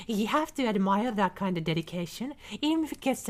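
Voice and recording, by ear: Intonation stays lively for someone reading aloud in a natural voice.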